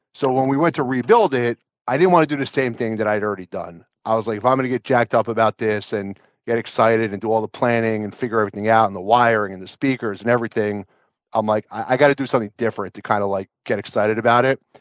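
Here a man talks at a very fast pace. His pitch sits in the medium range with ordinary variation. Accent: American. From New Jersey. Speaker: home theater enthusiast. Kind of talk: casual chat.

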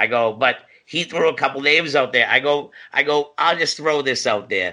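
Against a quiet background, a man with an American accent speaks at a moderate pace in a bright, sharp tone with fairly even intonation. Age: 40s. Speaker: professional wrestler. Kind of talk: casual chat.

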